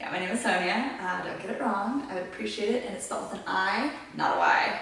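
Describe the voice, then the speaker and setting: There is audible room echo. A woman speaks at a fairly quick pace. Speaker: audio test volunteer. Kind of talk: casual chat. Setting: outdoors. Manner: loud.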